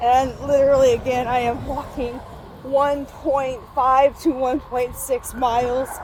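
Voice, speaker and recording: Noticeable background noise sits behind a woman whose high voice stays monotone and flat. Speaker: vlogger. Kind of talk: casual vlog. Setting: outdoors walking to work. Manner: filler-heavy, casual.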